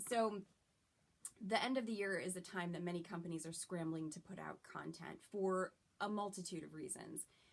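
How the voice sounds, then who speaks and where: A woman with an ordinary speaking voice, medium pitch, fairly even intonation, and a moderate pace. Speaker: voice actress. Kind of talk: casual talk to camera.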